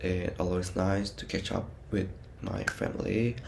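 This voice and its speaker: A man with an Indonesian accent and a very deep, low voice, speaking at a fairly slow pace amid audible room echo. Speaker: university student. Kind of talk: personal vlog narration.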